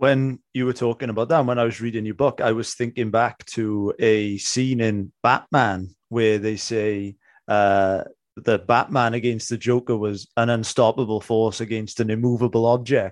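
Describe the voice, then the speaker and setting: In a quiet background, a man with a medium pitch talks at a moderate pace in a flat monotone. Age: 20s. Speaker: podcast host. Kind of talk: podcast interview.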